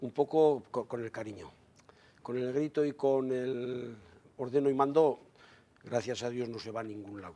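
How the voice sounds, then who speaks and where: Ordinary pitch variation in a man's dark, mellow tone. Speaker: member of a traditional raftsmen association. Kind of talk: TV studio discussion.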